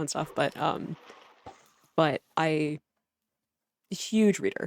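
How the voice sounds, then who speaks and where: In a very clean recording with a silent background, someone speaks at a very slow pace with an American accent. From United States. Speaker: gaming YouTuber. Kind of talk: casual chat. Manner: hesitant, many fillers.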